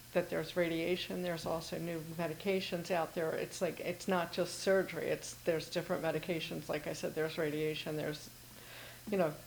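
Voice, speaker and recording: A woman's fairly low voice at a fairly quick pace, with monotone, flat intonation. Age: 60s. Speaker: cancer patient asking panel. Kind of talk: audience question, personal testimony. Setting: in-person event with audience. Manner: repetitive, emphatic.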